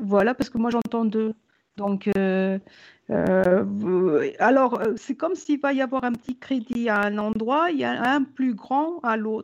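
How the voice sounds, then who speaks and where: A woman talks at a very slow pace. Her pitch is fairly high, with ordinary pitch variation. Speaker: psychic medium. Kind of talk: live psychic reading. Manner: halting.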